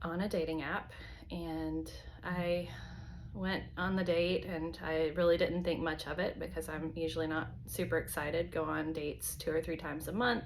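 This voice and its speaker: In an American accent, a woman speaks at a fairly slow pace amid audible room echo. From US South, North Carolina. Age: 40s. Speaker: vlogger. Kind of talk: personal video diary. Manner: hesitant, many fillers.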